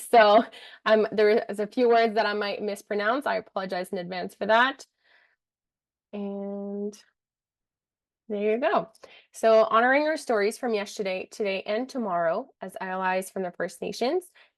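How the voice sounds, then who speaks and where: Against a quiet background, a woman speaks with a French Canadian accent at a moderate pace, leaving long, frequent pauses. Her pitch is fairly high, with ordinary pitch variation. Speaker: community engagement officer. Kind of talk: reading a land acknowledgement.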